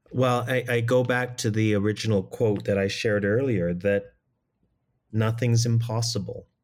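With a Canadian accent, a man talks at a medium pitch and a moderate pace in a monotone, flat intonation with very even loudness, on a very clean recording with a silent background. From Canada. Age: 50s. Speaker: theater director. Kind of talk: interview. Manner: halting.

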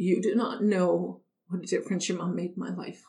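A woman with a Canadian accent sounds somewhat breathy, her intonation fairly even. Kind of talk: personal testimony.

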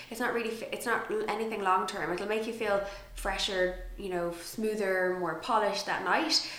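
A woman talks at a moderate pace and medium pitch over noticeable background noise. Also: ordinary pitch variation. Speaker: podcast host. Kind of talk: casual interview chat. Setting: studio.

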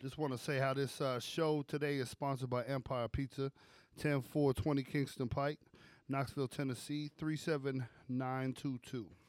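A man with an American accent speaks at a fairly slow pace, his medium-pitched voice monotone and flat. The recording is very clean, with a silent background. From Brooklyn, New York. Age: 30s. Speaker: podcast co-host. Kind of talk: sales pitch; casual chat.

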